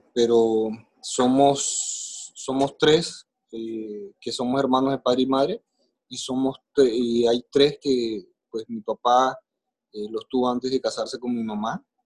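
Very slowly, a man speaks at medium pitch with fairly even intonation and big swings in loudness, in a dry, close sound with no echo. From Colombia, Caribbean coast (Maicao, La Guajira). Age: 40s. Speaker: podcast guest telling his life story. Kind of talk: personal testimony in interview.

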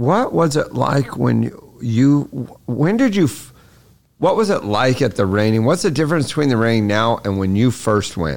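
In a plain, everyday voice, a man speaks at a moderate pace and medium pitch with lively intonation and very even loudness. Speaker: podcast co-host. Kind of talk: casual interview chat.

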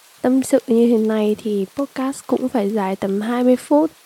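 A woman speaks at a very slow pace with a fairly high pitch. The sound is dry and close with no echo. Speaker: podcast host. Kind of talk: casual personal monologue. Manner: rambling conversational.

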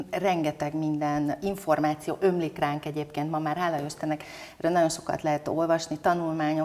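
This woman's pitch is very deep and low. She keeps a moderate pace. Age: 50s. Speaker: business leader and women's leadership club president. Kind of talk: interview. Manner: animated.

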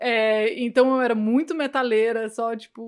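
A woman speaks in an ordinary speaking voice, fairly high-pitched and fairly even in intonation. Her pace is fairly slow, on a very clean recording with a silent background. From Brazil, Goiânia. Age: 30s. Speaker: cannabis educator. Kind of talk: casual interview chat.

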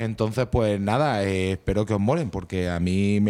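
A man's dark, mellow tone with fairly even intonation, in a very clean recording with a silent background. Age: 40s. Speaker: radio co-host presenting music. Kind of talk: casual radio chat.

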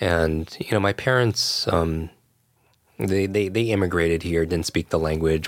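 In an American accent, a man with a very deep, low pitch talks at a moderate pace with fairly even intonation. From US Northeast, Westchester New York. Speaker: learning expert and educator. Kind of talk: casual interview conversation.

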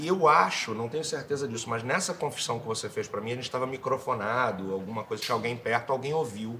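A man talks at a very fast pace with hardly any pauses and ordinary pitch variation. Background noise is noticeable. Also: medium pitch for a man. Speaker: actor. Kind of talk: testimony. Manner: halting, repeats words.

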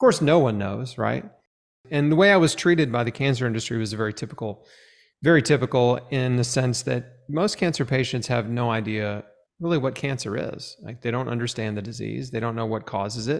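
A man talks with a normal speaking voice. His pace is fairly quick. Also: medium pitch for a man, ordinary pitch variation. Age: 40s. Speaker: cancer survivor and author. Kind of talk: interview testimony.

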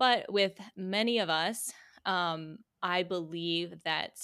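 A woman with an American accent speaks in a normal speaking voice at a medium pitch with ordinary pitch variation, on a very clean recording with a silent background. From Virginia. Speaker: healing mentor, former ballerina. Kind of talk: interview conversation.

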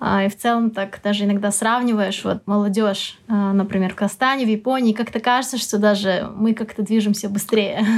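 The speech keeps a moderate pace. Its intonation is monotone and flat. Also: woman, medium pitch for a woman, hardly any pauses. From Kazakhstan. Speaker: education worker. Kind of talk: interview.

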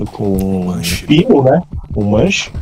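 A man is speaking with noticeable background noise behind him. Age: 30s. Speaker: gaming podcast co-host. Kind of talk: casual chat.

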